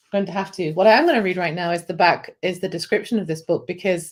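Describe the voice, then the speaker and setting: A woman with an American accent talks at a very fast pace with a medium pitch. The recording is very clean, the background silent. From Britain. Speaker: publisher's video host. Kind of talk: casual chat.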